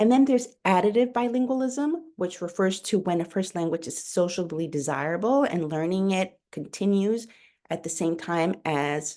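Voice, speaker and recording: Over a quiet background, a woman with a Spanish accent speaks at a moderate pace in a dark, mellow tone, her medium pitch swinging very widely. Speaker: pediatrician. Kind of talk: webinar lecture. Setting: online webinar. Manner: hesitant, with fillers and self-corrections.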